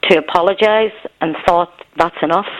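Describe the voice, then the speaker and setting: A woman with a Belfast accent speaks at a moderate pace with fairly even intonation and medium pitch, with noticeable background noise behind her. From Northern Ireland, Belfast. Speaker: caller. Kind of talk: phone-in call. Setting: phone call.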